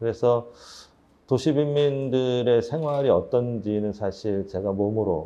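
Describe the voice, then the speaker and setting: A man's dark, mellow tone at a very slow pace, with ordinary pitch variation. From Seoul, Gwangjin district. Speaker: social economy network leader, social worker. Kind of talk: personal talk to small audience. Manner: hesitant, many fillers.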